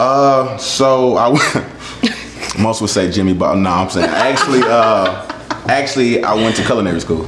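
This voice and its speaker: A man with a St. Louis accent speaks at a medium pitch and moderate pace, with ordinary pitch variation and very even loudness. Audible room echo and noticeable background noise surround him. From St. Louis, Missouri. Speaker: chef. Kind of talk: casual interview while cooking. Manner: relaxed, informal.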